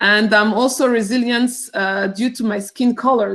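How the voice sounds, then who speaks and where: A woman speaks with a Rwandan accent. Her pace is moderate and her intonation fairly even. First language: Kinyarwanda. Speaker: teacher. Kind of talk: cultural presentation. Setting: video call. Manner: halting.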